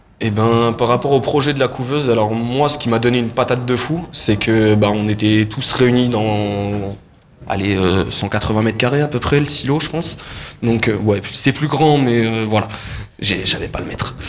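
With fairly even intonation and a medium pitch, a man speaks against noticeable background noise. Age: 20s. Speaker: singer. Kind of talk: interview.

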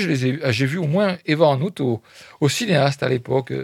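A man is heard in a dry, close sound with no echo. The recording is very clean, with a silent background. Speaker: radio film critic host. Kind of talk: radio film review show. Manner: hesitant, many fillers.

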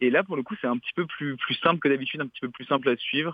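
A man is talking. His pace is very fast. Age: 20s. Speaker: bookseller and literary critic. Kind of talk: recorded segment, book review. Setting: phone call.

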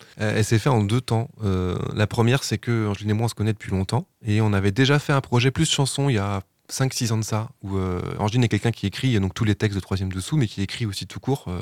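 A man with a fairly low pitch and ordinary pitch variation, at a very fast pace, in a dry, close sound with no echo and a very clean recording with a silent background. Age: 40s. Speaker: musician. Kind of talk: radio interview.

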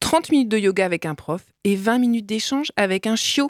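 A woman speaks at a moderate pace in a medium pitch. The sound is dry and close, with no echo. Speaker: radio co-host. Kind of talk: satirical radio chronicle and casual chat. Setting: radio studio.

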